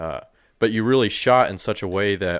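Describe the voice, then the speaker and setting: In an American accent, a man with an unremarkable speaking voice and fairly low pitch speaks at a fairly slow pace on a very clean recording with a silent background. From Colorado. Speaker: video producer. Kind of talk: casual chat. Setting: office.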